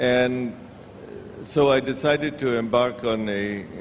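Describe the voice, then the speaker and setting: A man's medium-pitched voice with an Indian accent and fairly even intonation, against noticeable background noise. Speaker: industrialist. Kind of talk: interview answer. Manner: hesitant, humorous.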